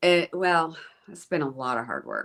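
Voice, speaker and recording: At a moderate pace, a woman talks with a central Pennsylvania accent on a very clean recording with a silent background. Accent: central Pennsylvania American. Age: 60s. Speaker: school board president. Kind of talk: interview. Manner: hesitant, many fillers.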